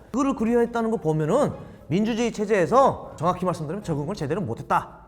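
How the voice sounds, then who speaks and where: Noticeable background noise runs under very fast speech with lively intonation. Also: man. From North Korea. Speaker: North Korean defector, former spy. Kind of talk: video reaction commentary.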